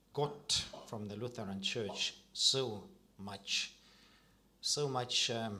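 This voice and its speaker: Delivered at a very slow pace, the voice has a bright, sharp tone and ordinary pitch variation. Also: man. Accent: Estonian. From Estonia. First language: Estonian. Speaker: Lutheran priest. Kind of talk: panel discussion. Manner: halting, many repeated words.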